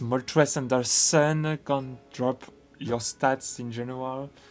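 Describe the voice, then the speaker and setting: With ordinary pitch variation, a man talks over music in the background. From France. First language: French. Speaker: gaming video creator. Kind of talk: game analysis commentary. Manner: hesitant, many fillers.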